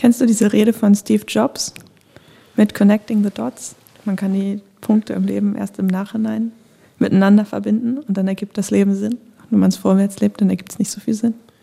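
A woman speaks at a fairly quick pace in a dark, mellow tone. Her voice is somewhat breathy, and her intonation stays fairly even. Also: medium pitch for a woman. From northern Germany (Bremen/Lower Saxony). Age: 20s. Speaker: young politician. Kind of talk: casual chat. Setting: studio.

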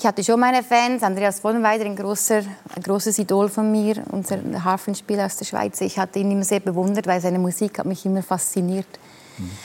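Noticeable background noise runs under a woman speaking at a fairly quick pace. Her medium pitch stays monotone and flat. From Italian-speaking Switzerland. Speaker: alphorn player. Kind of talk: talk show conversation.

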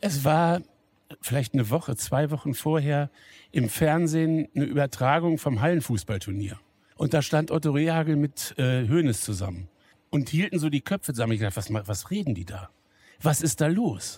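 A somewhat breathy man's voice, fairly high in pitch, with a dark, mellow tone, lively intonation and a moderate pace, on a very clean recording with a silent background. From Lower Saxony, Wolfsburg. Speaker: pastor and football fan. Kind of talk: casual interview. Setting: empty football stadium.

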